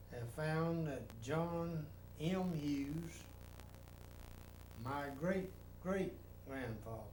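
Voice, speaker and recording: In a room with audible echo, a man with a North Carolina accent and a fairly high pitch speaks very slowly, with long, frequent pauses and ordinary pitch variation. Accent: Southern US (North Carolina). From US South, North Carolina. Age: 80s. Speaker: retired army general. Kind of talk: casual family interview.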